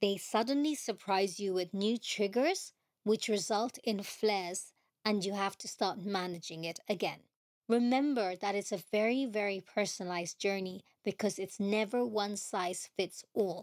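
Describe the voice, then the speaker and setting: A plain, everyday voice moves at a moderate pace with ordinary pitch variation on a very clean recording with a silent background. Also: woman, medium pitch for a woman. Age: 40s. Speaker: podcast host, patient advocate. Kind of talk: personal testimony.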